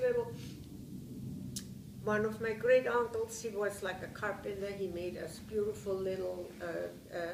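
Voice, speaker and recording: A woman with a Bavarian accent speaks at a fairly slow pace. Noticeable background noise and audible room echo come through. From Bavaria, Germany. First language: German. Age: 70s. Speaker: war survivor interviewee. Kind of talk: interview testimony. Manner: halting.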